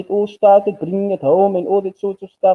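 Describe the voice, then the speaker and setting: The voice is a man's, pitched high. He moves at a fairly quick pace. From South Africa, Cape Town. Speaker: football channel host. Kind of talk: casual interview chat. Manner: hesitant, many ums.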